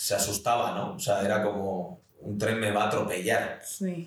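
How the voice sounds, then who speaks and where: Audible room echo surrounds a man speaking at medium pitch. He keeps a fairly slow pace. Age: 30s. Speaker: film and TV assistant director. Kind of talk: interview. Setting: in person recording.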